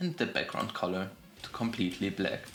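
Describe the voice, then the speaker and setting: A man with a fairly low voice speaks in a room with audible echo while music plays in the background. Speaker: game development tutorial youtuber. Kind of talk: tutorial. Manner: casual with fillers and self-corrections.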